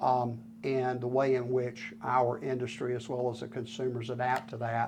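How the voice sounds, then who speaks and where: With a Southern US accent, the speaker talks at a moderate pace in a monotone, flat intonation, amid audible room echo and noticeable background noise. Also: man, medium pitch for a man. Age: 60s. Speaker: retired sawmill owner. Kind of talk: interview. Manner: halting, many fillers.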